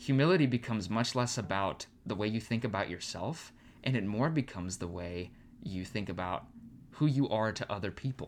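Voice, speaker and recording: An ordinary speaking voice from a man with an American accent, fairly low in pitch, at a fairly quick pace with lively intonation. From Arizona. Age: 20s. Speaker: pastoral resident. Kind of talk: casual chat.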